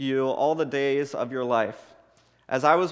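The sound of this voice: The clip is an unforced reading voice with fairly even intonation.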